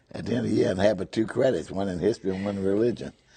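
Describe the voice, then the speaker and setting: A man speaks with a Memphis accent, vocal fry and a dark, mellow tone. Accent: Southern US (Memphis). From US South, Memphis, Tennessee. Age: 80s+. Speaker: retired whiskey salesman. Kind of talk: interview.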